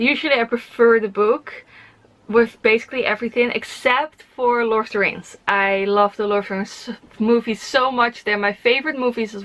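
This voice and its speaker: In a Dutch accent, a woman speaks at a moderate pace with a fairly high pitch and fairly even intonation. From Netherlands. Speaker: book vlogger. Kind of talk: casual chat. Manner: hesitant, many fillers.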